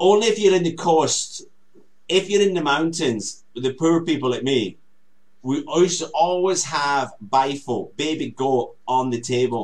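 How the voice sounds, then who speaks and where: With lively intonation, a man speaks at a fairly slow pace in a fairly high pitch. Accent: Scottish. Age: 50s. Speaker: talk show co-host. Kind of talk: casual chat.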